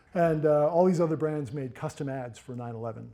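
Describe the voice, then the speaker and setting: A man's dark, mellow tone with fairly even intonation and audible room echo. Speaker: brand strategist. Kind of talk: lecture. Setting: stage with audience. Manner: mumbling; halting.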